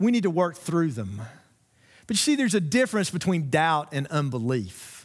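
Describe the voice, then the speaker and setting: A man's fairly high voice in a Southern US accent, fairly slow, on a very clean recording with a silent background. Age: 50s. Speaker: pastor. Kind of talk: sermon. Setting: church.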